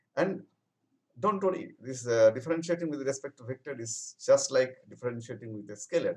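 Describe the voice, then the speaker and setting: With lively intonation and big swings in loudness, a man talks at a fairly quick pace. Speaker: professor. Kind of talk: lecture. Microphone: webcam.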